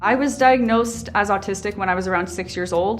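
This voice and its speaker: The speech moves at a fairly quick pace in an American accent. Room echo is audible. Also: woman. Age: 20s. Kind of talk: interview testimony.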